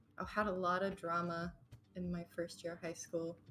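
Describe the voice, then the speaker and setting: Over music in the background, a woman with an American accent talks at a fairly slow pace. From Texas, then Italy as a teen. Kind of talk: casual chat.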